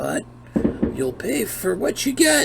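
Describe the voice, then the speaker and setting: A raspy, put-on character voice comes through over clear background noise. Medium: actual play. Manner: warm, folksy.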